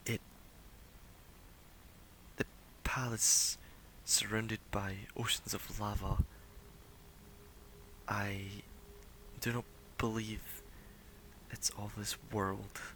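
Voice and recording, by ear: In a put-on character voice with a bright, sharp tone, a man with a fairly low pitch speaks at a very slow pace with little pitch movement and long, frequent pauses.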